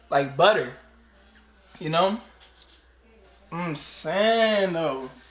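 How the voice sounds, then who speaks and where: A man with an American accent, high pitch and lively intonation at a very slow pace, amid audible room echo and noticeable background noise. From DMV area (DC, Maryland, Virginia). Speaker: YouTuber. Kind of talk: casual vlog explaining slang.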